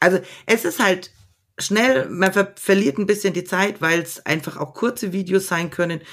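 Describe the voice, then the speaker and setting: In a Franconian accent, a woman speaks at a moderate pace and a medium pitch with ordinary pitch variation. The recording is very clean, with a silent background. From Middle Franconia, Erlangen. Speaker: secondary school teacher. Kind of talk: casual interview.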